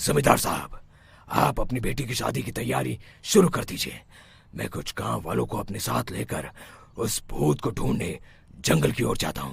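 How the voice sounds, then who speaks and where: A man performs a cartoonish character voice at a very deep, low pitch, making very wide pitch swings at a moderate pace. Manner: self-assured.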